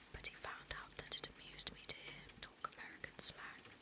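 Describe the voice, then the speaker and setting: A moderate-paced whisper with noticeable background noise behind it. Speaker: VTuber ASMR creator. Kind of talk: whispered audiobook-style reading of a novel. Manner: soft, intimate, gentle narration.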